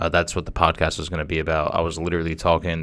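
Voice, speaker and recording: Very fast and monotone with flat intonation, a man speaks at a very deep, low pitch over light background noise. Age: 20s. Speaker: podcast host. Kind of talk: casual monologue; casual vlog chat. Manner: halting. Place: studio. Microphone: studio mic.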